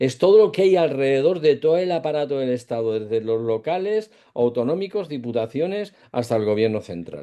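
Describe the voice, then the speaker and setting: Talking at a fairly quick pace, a man with a fairly high pitch and a dark, mellow tone makes very wide pitch swings. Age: 60s. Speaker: political debate panelist. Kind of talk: panel debate. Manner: hesitant, many fillers.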